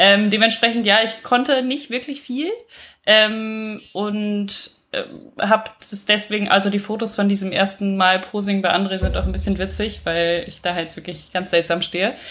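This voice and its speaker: Using an ordinary speaking voice, a woman holds a medium pitch and fairly even intonation. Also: moderate pace. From western Germany. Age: 20s. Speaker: bodybuilder and architect. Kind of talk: casual chat.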